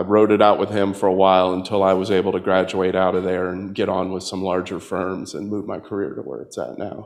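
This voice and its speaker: A man with a slight Southern US accent, very deep and low in pitch, with monotone, flat intonation, a fairly quick pace and hardly any pauses, against a quiet background. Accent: slight Southern twang. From US South, Tampa, Florida. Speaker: political candidate. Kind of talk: campaign talk with audience Q&A.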